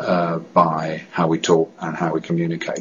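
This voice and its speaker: Speaking at a moderate pace, a man with a British accent keeps his intonation fairly even. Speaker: director of a stammering association. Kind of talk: testimony. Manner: halting, with repetitions and blocks.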